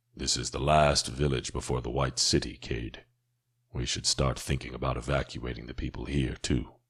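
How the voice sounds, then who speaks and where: A man speaks at a moderate pace in a put-on character voice, very deep and low, with flat, monotone intonation. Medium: read story. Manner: somber.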